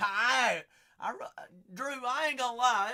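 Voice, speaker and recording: A man with an American accent speaks in a raised, projected voice. His tone is animated, with lively intonation. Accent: noticeable regional accent, unnamed. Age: 20s. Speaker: live-stream card breaker. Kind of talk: live-stream chat. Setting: live stream.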